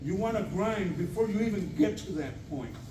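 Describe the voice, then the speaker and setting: A loud man speaks at a moderate pace. Audible room echo and noticeable background noise surround him. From Puerto Rico. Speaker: equipment technician and trainer. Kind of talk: training talk.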